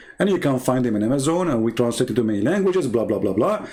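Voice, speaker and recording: Very fast, lively speech from a man with a medium pitch, very even loudness and an Arabic accent. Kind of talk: livestream polemic talk. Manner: animated. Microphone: audio problems.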